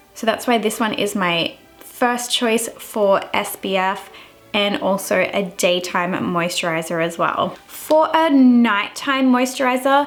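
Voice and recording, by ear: Fairly slow delivery with few pauses and ordinary pitch variation, faint music in the background. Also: woman, medium pitch for a woman.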